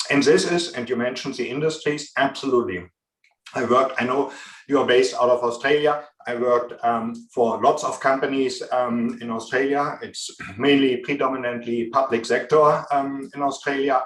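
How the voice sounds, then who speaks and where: This man has a strong German accent, a medium pitch, a moderate pace and fairly even intonation. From Germany. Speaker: business consultant. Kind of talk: interview. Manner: frequent filler hesitations.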